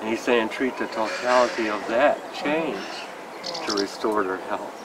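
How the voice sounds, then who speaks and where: A man at medium pitch talks at a moderate pace, with noticeable noise in the background. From United States. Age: 60s. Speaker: homeopathic doctor and teacher. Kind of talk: interview. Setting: summer school in Prague.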